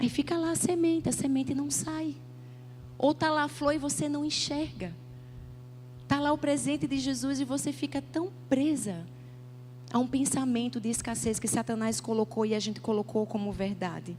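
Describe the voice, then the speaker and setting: In a Paraíba accent, a somewhat breathy woman at medium pitch speaks at a moderate pace, making very wide pitch swings and taking long, frequent pauses. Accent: northeastern Brazilian (Paraíba). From Northeast Brazil, João Pessoa, Paraíba. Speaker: pastor. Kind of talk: sermon. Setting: church stage with audience.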